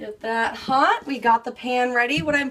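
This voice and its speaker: Over noticeable background noise, a woman speaks at a moderate pace in a raised, projected voice. She has a high pitch and an American accent. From California. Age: 20s. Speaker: home cook. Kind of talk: cooking tutorial. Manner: upbeat, energetic.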